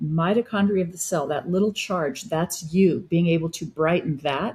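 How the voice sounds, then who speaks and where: A woman speaks at a fairly slow pace with a fairly low pitch. Her voice is somewhat breathy. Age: 60s. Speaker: wellness practitioner. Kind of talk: interview.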